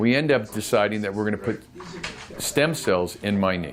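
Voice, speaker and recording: Music plays in the background as a man speaks at a fairly low pitch. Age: 60s. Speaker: patient. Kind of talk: testimony. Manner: casual, conversational.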